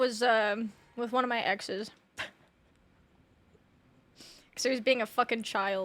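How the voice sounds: A woman speaks at a slow pace with a fairly high pitch. Her tone is fairly bright and her intonation fairly even.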